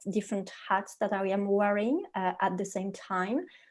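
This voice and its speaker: A woman with a French accent speaks at a medium pitch in a dark, mellow tone with fairly even intonation on a very clean recording with a silent background. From France. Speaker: leadership coach. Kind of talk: podcast interview.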